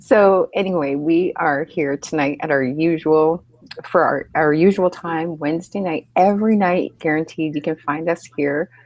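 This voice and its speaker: A woman speaks at a moderate pace with a fairly low pitch and ordinary pitch variation. Background noise is noticeable. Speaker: online mentor and webinar host. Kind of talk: live webinar chat. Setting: hotel room, live video hangout. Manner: quieter than usual.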